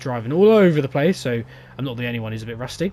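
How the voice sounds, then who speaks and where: A man with an English accent talks at a very fast pace. His tone is dark and mellow, with lively intonation. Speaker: gaming youtuber. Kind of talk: gameplay commentary. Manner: stuttering.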